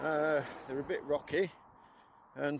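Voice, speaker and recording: This man's pitch is fairly high. He speaks in a Yorkshire accent. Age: 60s. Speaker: walking vlogger. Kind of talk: casual vlog narration. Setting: outdoors. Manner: hesitant, many fillers.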